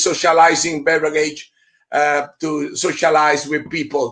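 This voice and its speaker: Speaking fairly slowly, a man talks with an Italian accent. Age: 60s. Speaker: beer expert and event narrator. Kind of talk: live online interview. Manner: halting, many fillers.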